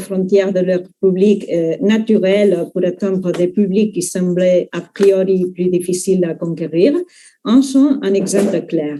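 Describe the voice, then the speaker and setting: A woman's dark, mellow voice at medium pitch, with a non-native accent, ordinary pitch variation and a very slow pace. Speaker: university researcher. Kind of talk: academic conference talk.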